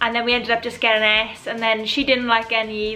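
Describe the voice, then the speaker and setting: With music in the background, a woman speaks in a Welsh accent at a very fast pace. Her pitch is fairly high and her intonation fairly even. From Wales. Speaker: YouTuber. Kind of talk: casual talk to camera.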